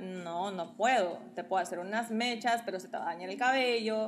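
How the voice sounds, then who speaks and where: A woman speaks at a moderate pace in a fairly high voice with ordinary pitch variation, and the room echo is audible. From Guatemala. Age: 30s. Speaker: model and social media influencer. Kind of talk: casual chat. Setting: at her home, also live on TikTok.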